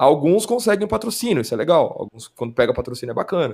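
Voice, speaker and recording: Very wide pitch swings mark this man's speech. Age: 30s. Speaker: esports commentator. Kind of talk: casual chat.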